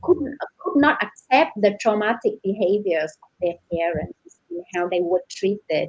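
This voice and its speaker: Speaking fairly slowly with a Vietnamese accent, a woman uses a medium pitch and lively intonation. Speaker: novelist. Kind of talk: panel discussion.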